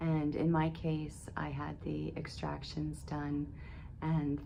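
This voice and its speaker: Audible room echo surrounds a woman's voice. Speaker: video blogger documenting dental treatment. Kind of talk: personal vlog update. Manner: reflective, conversational.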